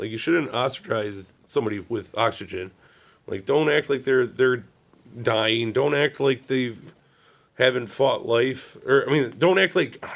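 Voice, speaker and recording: Putting on a raspy character voice, a man speaks at medium pitch and a moderate pace with ordinary pitch variation. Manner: halting, losing words.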